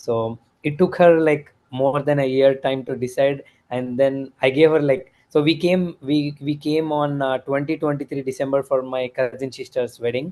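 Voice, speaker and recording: A man with a plain, everyday voice speaks at a moderate pace, his pitch fairly high and his intonation fairly even. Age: 30s. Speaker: returned emigrant, former IT worker. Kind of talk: interview.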